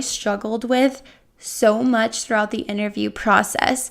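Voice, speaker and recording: At a fairly slow pace, a woman speaks in a normal speaking voice with a fairly high pitch and ordinary pitch variation. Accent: American. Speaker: podcast host and online ESL teacher. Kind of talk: solo podcast monologue, educational tips.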